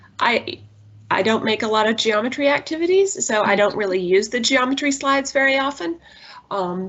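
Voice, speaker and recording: At a moderate pace, a woman talks in a high voice that makes very wide pitch swings. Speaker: math coach leading teacher training. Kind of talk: tutorial.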